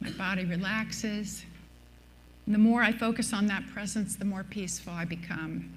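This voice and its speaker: A woman's medium-pitched voice with vocal fry, fairly even intonation and a moderate pace, in a room with audible echo. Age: 70s. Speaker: minister. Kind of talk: sermon.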